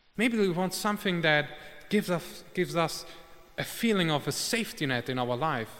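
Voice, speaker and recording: A man with a non-native accent talks at a fairly quick pace and high pitch. His intonation is lively. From Germany, of Italian parents. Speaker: war journalist giving a lay sermon. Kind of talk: sermon. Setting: church service. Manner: halting, with fillers.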